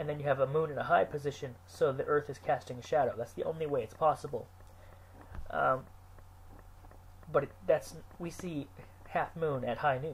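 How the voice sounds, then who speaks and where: Somewhat breathy, a man talks at a moderate pace with long, frequent pauses. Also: ordinary pitch variation. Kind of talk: unscripted talk to camera.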